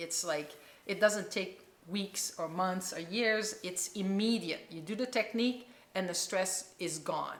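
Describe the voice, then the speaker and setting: Here a woman speaks at a fairly slow pace in a normal speaking voice. Her pitch varies in an ordinary way. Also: medium pitch for a woman. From Quebec, Canada. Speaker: chiropractor and holistic healer. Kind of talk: interview answer.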